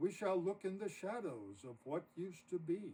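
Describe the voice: In a put-on character voice, a man talks at a moderate pace and a high pitch, his dark, mellow tone carrying a husky, rough edge and big pitch swings.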